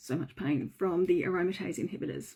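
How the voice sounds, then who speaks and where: A woman's dark, mellow tone with an Australian accent, moderate pace and ordinary pitch variation. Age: 40s. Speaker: breast cancer survivor. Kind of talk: personal story reading.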